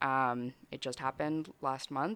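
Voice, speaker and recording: A woman with an American accent speaks with a very deep, low pitch and a bright, sharp tone. Her intonation stays fairly even against a quiet background. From Brazilian family, raised partly in Chicago area. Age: 20s. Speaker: comedian and entrepreneur. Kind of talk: casual chat.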